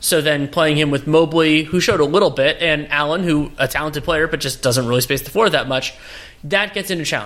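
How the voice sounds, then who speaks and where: A man speaks in an ordinary speaking voice at a fairly high pitch. His pitch varies in an ordinary way. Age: 30s. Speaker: basketball analyst. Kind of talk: casual chat.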